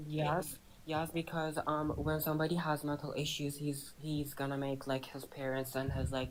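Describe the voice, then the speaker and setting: With a non-native accent, a woman speaks at a very deep, low pitch in monotone, flat intonation, with hardly any pauses. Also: moderate pace. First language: not English. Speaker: debate participant on live stream. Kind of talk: heated debate. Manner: halting.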